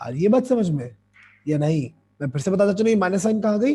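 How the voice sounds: This man's voice sits high in pitch, with a dark, mellow tone that is hoarse and slightly husky at the edge. His pitch swings widely.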